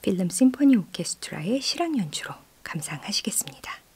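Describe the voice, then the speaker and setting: Somewhat breathy and dark, mellow in tone, a woman's voice moves through very wide pitch swings. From South Korea. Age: 40s. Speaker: radio host and composer; radio host. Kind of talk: radio music programme presenting. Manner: warm, conversational. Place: studio. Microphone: studio mic.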